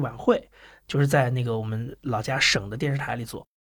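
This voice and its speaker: A man talks at a very fast pace. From Anhui, China, with long stays in Shanghai. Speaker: podcast producer and entrepreneur. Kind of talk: casual interview chat.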